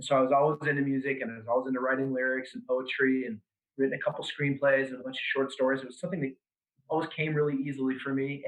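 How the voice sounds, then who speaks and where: With an American accent, a man talks at a very fast pace. His pitch is medium. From Seattle, US Pacific Northwest. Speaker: business owner and band frontman. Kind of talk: podcast interview.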